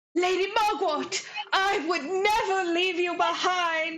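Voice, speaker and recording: Amid audible echo, a woman puts on a theatrical character voice at an extremely high pitch and a fairly slow pace. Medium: actual play. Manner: theatrical, earnest.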